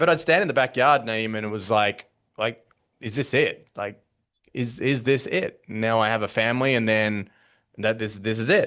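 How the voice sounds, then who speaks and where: A man with an Australian accent and ordinary pitch variation over a quiet background. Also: medium pitch for a man, moderate pace. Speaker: business coach. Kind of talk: podcast interview. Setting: podcast call. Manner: conversational, with frequent fillers and repetitions.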